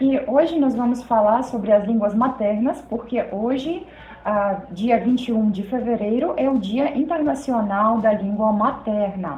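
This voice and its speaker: Noticeable background noise and audible room echo accompany a woman speaking at a fairly slow pace, with fairly high pitch and lively intonation. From Belarus. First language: Belarusian or Russian (speaking Portuguese). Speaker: video host. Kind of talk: casual chat.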